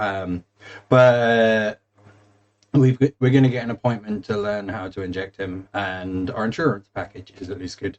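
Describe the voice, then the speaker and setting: A man with a southern English accent speaks at a fairly low pitch. His intonation stays fairly even while his loudness swings widely. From England, East Anglia (Suffolk). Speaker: gaming streamer. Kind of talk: casual chat. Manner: halting, many fillers.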